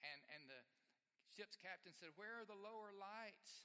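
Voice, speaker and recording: In an Alabama accent, the speaker talks very slowly with a bright, sharp tone. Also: man. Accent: US Southern (Alabama). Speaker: pastor. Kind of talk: sermon. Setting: church.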